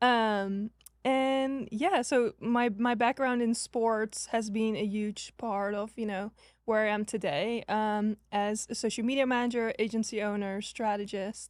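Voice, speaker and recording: A woman with a Dutch accent speaks at a fairly slow pace, her pitch fairly high and her intonation fairly even. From Netherlands. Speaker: social media agency owner, former college tennis player. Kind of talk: podcast interview. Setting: live podcast recording.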